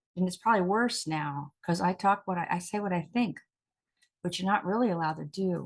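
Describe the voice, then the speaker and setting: An unremarkable speaking voice from a woman, fairly low-pitched, with ordinary pitch variation and a fairly quick pace. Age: 60s. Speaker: talk show host and actress. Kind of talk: casual chat.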